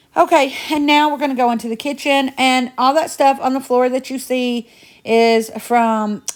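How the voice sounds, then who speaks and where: With an American accent, a woman talks at a moderate pace in a high pitch, her intonation fairly even. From Indiana. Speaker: home cleaning vlogger. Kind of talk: casual chatty vlog narration. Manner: chatty.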